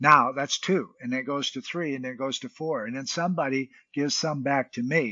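Speaking at a fairly quick pace with hardly any pauses, a man has a plain, everyday voice, fairly high in pitch with ordinary pitch variation. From United States. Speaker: mentor and UN peace ambassador, Navy veteran. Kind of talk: interview.

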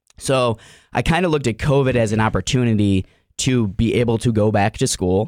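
In a normal speaking voice with an American accent, a man talks at a fairly quick pace and medium pitch with ordinary pitch variation and very even loudness, on a very clean recording with a silent background and a dry, close sound with no echo. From US Midwest, Cleveland, Ohio. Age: 30s. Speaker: mental performance coach, former wrestler. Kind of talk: casual interview chat.

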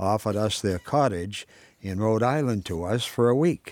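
A normal speaking voice with lively intonation, recorded very cleanly against a silent background, with a dry, close sound and no echo. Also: man. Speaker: writer reading own work. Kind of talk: literary short story reading, nostalgic memoir read aloud. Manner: measured, unhurried reading.

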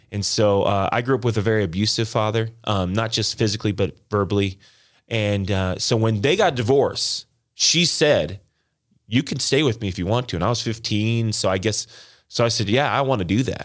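A man with a plain, everyday voice speaks in a General American accent at a moderate pace, his pitch fairly low with ordinary variation. The recording is very clean, with a silent background. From Las Vegas, Nevada, US. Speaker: pastor. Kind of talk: testimony.

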